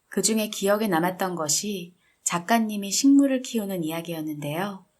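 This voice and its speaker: A normal speaking voice from a woman, medium in pitch with ordinary variation, at a moderate pace, in a very clean recording with a silent background. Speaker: book reader / audiobook narrator. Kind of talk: calm book reading aloud. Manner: soft, relaxing.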